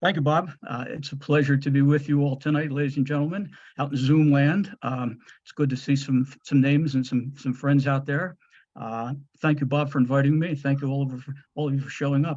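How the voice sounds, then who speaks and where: The voice is somewhat breathy, with fairly even intonation and an American accent. The background is quiet. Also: man, fairly high pitch for a man, fairly quick pace. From New Jersey. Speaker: historian. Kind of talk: lecture. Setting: video call. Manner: fast.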